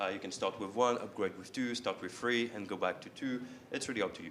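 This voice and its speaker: Speaking with a French accent at a fairly low pitch and ordinary pitch variation, a man is heard with audible room echo. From France. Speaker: software company representative. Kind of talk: conference presentation. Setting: stage with audience. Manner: frequent hesitations (uh).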